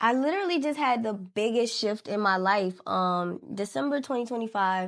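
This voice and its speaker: A fairly high-pitched woman's voice with an American accent and lively intonation, on a very clean recording with a silent background. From New Orleans, Louisiana. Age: 20s. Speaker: hairstylist and entrepreneur. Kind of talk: interview. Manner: casual, conversational.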